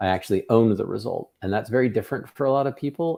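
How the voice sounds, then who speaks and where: Lively intonation and a dark, mellow tone come through at a fairly quick pace. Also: man. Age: 50s. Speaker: tech company founder and podcast host. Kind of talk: casual podcast chat.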